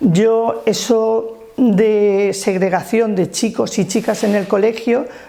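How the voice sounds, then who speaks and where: Noticeable background noise sits behind a woman whose medium-pitched voice holds a very even loudness. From Alicante province, Spain (Alto Vinalopó, rural). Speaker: trade unionist. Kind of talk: life-story interview.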